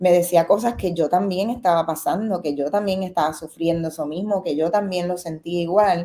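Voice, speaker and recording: Dark, mellow female voice in a Puerto Rican accent, with fairly even intonation and hardly any pauses. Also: fairly low pitch for a woman, moderate pace. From Puerto Rico. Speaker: film director. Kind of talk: interview. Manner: halting, many fillers.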